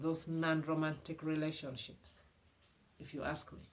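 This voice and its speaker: Someone with a Ugandan accent speaks at a moderate pace. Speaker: relationship advice vlogger. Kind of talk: motivational advice talk. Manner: animated.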